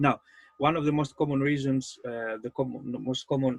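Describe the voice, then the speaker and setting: In a dry, close sound with no echo, a man with a Greek accent speaks fairly slowly at a medium pitch, his intonation fairly even. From Greece. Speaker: game master and life coach. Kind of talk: seminar talk. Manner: halting.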